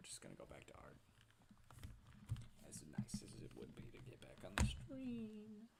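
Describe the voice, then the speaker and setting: Soft-spoken and at a moderate pace, a man talks with long, frequent pauses. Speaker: art streamer. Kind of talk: casual live stream chat while drawing.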